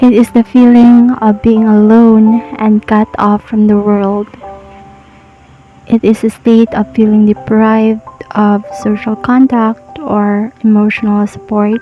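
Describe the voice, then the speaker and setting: A soft-spoken woman's fairly high voice at a very slow pace, with music in the background. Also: very even loudness. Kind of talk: soft-spoken motivational podcast narration. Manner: sleepy, calm.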